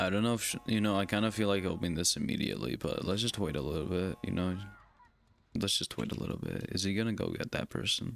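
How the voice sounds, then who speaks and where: Soft-spoken and with vocal fry, a man talks very fast in a fairly low pitch. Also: ordinary pitch variation. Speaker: gaming streamer. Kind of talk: live gameplay stream chat. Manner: soft-spoken, talking low.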